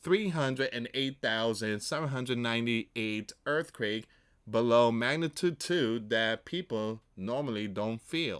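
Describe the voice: A man speaks slowly at a medium pitch, with a fairly bright, clear, smooth tone and lively intonation.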